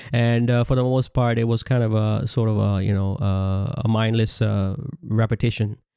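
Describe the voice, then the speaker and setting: Speaking with a Pakistani accent at a moderate pace, a man has a dark, mellow tone, a fairly low pitch and monotone, flat intonation. The recording is very clean, with a silent background. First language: Urdu. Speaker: religious commentator. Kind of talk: religious lecture. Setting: audio-only recording. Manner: halting with many fillers.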